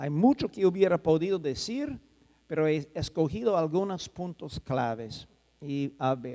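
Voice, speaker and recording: Speaking at a fairly slow pace with a non-native accent, a man uses a dark, mellow tone at a fairly high pitch. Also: lively intonation. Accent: non-native Spanish speaker. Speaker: soil science professor. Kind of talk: conference lecture. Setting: conference hall with audience. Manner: halting, with self-corrections.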